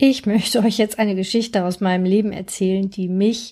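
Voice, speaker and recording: A woman's dark, mellow tone at a medium pitch, with monotone, flat intonation, in a very clean recording with a silent background. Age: 50s. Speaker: therapist and coach, podcast host. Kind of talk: solo podcast monologue. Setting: recording outdoors-ish on holiday on the Andalusian coast.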